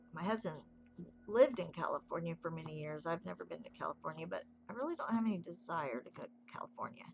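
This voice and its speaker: She has an American accent. The speaker is a woman. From US South. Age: 60s. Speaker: craft livestreamer. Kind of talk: casual chat. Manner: relaxed.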